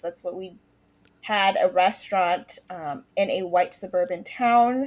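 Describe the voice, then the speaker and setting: A woman with a medium pitch speaks very slowly. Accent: West Coast. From California, Morgan Hill. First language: Mandarin. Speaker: health and life coach. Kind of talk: podcast interview.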